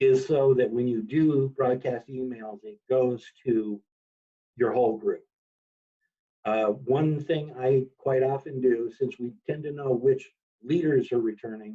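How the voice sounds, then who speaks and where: Against a quiet background, a man with a dark, mellow tone speaks at a fairly slow pace, leaving long, frequent pauses. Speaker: 4-H software trainer. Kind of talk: training webinar. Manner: loud. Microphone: video call.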